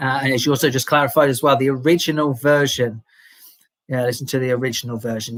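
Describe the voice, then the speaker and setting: On a very clean recording with a silent background, a man with a mild English accent and medium pitch speaks at a very fast pace with fairly even intonation. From England. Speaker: English teacher. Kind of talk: live Q&A stream. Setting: livestream. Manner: hesitant, many fillers and repeats.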